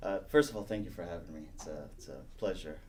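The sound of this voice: The man's voice sits low in pitch, slightly mellow in tone. He moves at a fast pace. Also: ordinary pitch variation.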